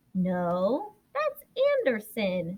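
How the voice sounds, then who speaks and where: A woman puts on a character voice pitched in the medium range. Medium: read story.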